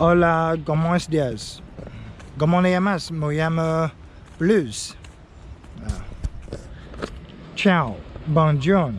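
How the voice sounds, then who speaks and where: Audible room echo surrounds a man speaking at a very slow pace with long, frequent pauses. His pitch is fairly high and varies in an ordinary way. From China (Henan Province). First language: Chinese. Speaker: English learning vlogger. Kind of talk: tutorial. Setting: outdoors. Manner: halting.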